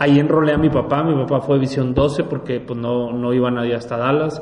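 The speech has fairly even intonation, with audible room echo and noticeable background noise. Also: man. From Mexico, Monterrey. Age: 40s. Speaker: life coach and businessman. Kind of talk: interview conversation.

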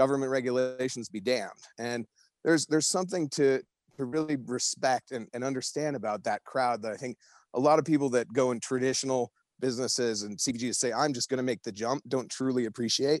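At a very fast pace, a man with an American accent speaks at a medium pitch with fairly even intonation. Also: dry, close sound with no echo. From Boulder, Colorado. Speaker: cannabis beverage company CEO. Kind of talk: interview.

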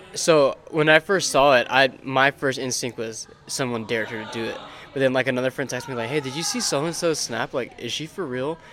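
A man talks at a fairly quick pace with a medium pitch and ordinary pitch variation. Noticeable background noise sits behind his voice. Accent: American. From Texas, San Antonio. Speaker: podcast co-host, college student. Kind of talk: casual chat.

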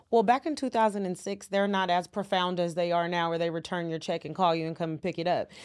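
A woman with an American accent talks very fast with hardly any pauses, at a fairly low pitch and with ordinary pitch variation. The recording is very clean, with a silent background. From California, San Francisco Bay Area. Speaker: accountant. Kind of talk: interview.

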